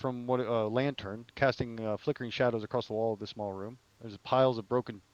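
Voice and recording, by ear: Someone reads aloud in a natural voice, the intonation staying fairly even.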